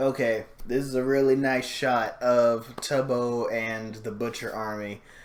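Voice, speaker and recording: A man speaks at a fairly slow pace in a monotone, flat intonation. Audible room echo surrounds his voice. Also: medium pitch for a man. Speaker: YouTuber reacting to videos. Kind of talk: reaction video commentary. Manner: hesitant, many fillers.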